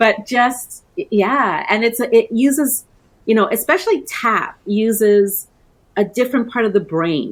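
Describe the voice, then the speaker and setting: Speaking at a fairly slow pace in a Canadian accent, a woman uses a normal speaking voice, fairly high in pitch, with lively intonation. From Canada, born in Trinidad. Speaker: coaching business owner. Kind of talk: interview.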